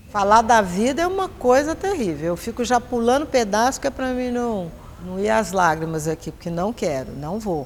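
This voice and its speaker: At a moderate pace, a woman with medium pitch speaks with very wide pitch swings. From Brazil, Minas Gerais, raised in São Paulo from 13. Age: 70s. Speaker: actress. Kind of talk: documentary interview.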